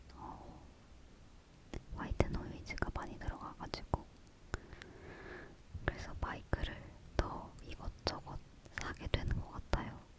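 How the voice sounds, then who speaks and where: A woman whispers at a very slow pace with big swings in loudness, long, frequent pauses, and noticeable background noise. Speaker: ASMR content creator (YouTuber). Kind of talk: ASMR whisper talk to camera, casual chat about microphones. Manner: soft-spoken, whispering.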